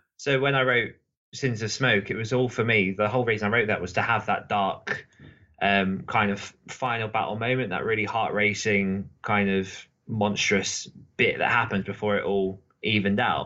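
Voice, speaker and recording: A man speaks with a British accent at a fairly low pitch. His intonation stays fairly even. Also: moderate pace. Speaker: podcast host and co-author. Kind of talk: casual chat. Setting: online call, poor connection.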